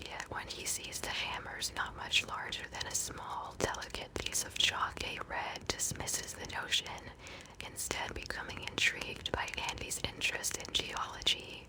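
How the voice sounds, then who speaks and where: Whispering at a fairly slow pace comes through over noticeable background noise. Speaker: ASMR podcast host. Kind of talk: soft-spoken ASMR bedtime podcast commentary. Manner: soft-spoken, whispery, calming.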